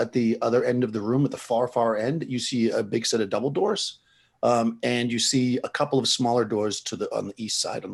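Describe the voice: Someone is doing plain reading aloud.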